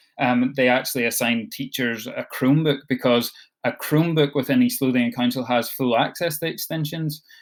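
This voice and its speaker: Speaking in a Scottish accent, a man uses a fairly high pitch with ordinary pitch variation. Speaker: education support officer for digital learning. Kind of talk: online training session. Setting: video call. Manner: fast; hesitant, many fillers.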